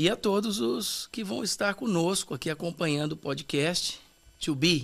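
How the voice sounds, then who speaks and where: A man speaks at a fairly slow pace with a high pitch. His intonation is lively. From Brazil, São Paulo. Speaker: pastor, former TV performer. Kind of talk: casual interview chat.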